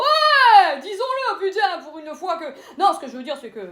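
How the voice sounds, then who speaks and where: Very wide pitch swings mark this raised, projected voice. Noticeable background noise runs underneath. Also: woman. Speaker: comedian. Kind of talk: stand-up. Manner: fast; animated.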